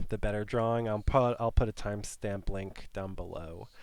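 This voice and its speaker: Moderate pace from a man with a normal speaking voice. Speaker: art teacher. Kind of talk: tutorial. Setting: studio.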